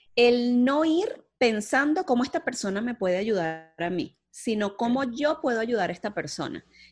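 A woman's high voice moves through very wide pitch swings. She speaks at a fairly slow pace. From Venezuela, Puerto Cabello. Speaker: strategic planning specialist and entrepreneur. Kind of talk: interview.

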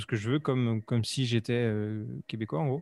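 At a moderate pace, a man speaks at a medium pitch with fairly even intonation. He has an unremarkable speaking voice. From western France, Vendée near Nantes. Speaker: podcaster and YouTuber. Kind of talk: casual interview chat.

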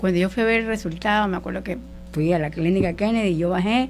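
Ordinary pitch variation runs through a woman's speech at a moderate pace. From Ecuador, coastal Guayas province. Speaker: church worship volunteer. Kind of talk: personal faith testimony. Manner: halting.

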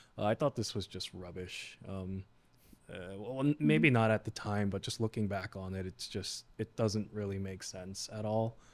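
A normal speaking voice with an American accent at a moderate pace, on a very clean recording with a silent background. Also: man, fairly low pitch for a man, ordinary pitch variation. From New York (Queens, Flushing), Korean American. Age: 20s. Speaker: financial advisor. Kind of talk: casual chat.

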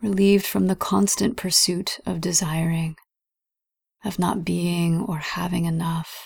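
A woman speaks slowly-ish in a fairly low, somewhat breathy voice, with a gentle, calm tone and fairly even intonation. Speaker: meditation guide. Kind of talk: guided meditation. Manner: slow, soft, calm and soothing with long pauses; gentle, measured, reverent.

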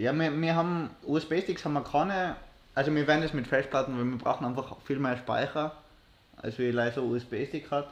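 The man's pitch is fairly high, with ordinary variation. He has an unremarkable speaking voice and keeps a moderate pace. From Austria, Innsbruck. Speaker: podcast co-host, university student. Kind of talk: casual chat. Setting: livestream.

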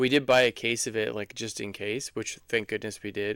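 A man with a normal speaking voice, medium pitch and ordinary pitch variation, in a dry, close sound with no echo. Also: very clean recording, silent background. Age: 40s. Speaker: podcast co-host, new father. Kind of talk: casual chat.

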